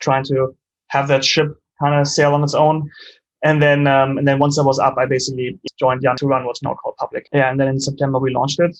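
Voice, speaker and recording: A man talks at a fairly quick pace in a fairly high pitch. His intonation is monotone and flat. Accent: German. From Germany. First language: German. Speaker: startup co-founder and CEO. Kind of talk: interview.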